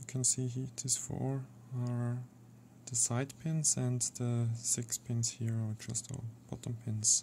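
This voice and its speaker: The speaker has a non-native accent. The pace is very slow. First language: not English. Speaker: lockpicking hobbyist. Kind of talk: casual tutorial talk to camera. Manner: quiet, not speaking up, frequent sighing.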